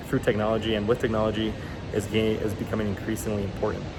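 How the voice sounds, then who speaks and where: A man with a Spanish accent talks at medium pitch. Audible room echo and noticeable background noise fill the recording. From Guatemala. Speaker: university student. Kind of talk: class presentation speech. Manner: hesitant, with fillers.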